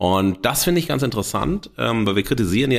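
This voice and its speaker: On a very clean recording with a silent background, a man is talking. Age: 50s. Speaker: podcast host and media scholar. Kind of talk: solo improvised monologue. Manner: animated; hesitant with fillers.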